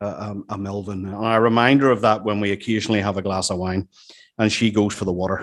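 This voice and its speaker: Speaking at a very fast pace, a man with a Northern Irish accent uses a fairly low pitch and a monotone, flat intonation. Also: very clean recording, silent background. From Northern Ireland. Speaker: business executive. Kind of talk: after-dinner talk. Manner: halting.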